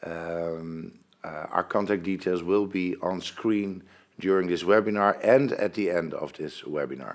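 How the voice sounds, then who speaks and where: A man speaks in a Dutch accent at a very slow pace. His pitch is very deep and low, with ordinary variation. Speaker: pension fund presenter. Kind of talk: webinar presentation. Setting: online webinar.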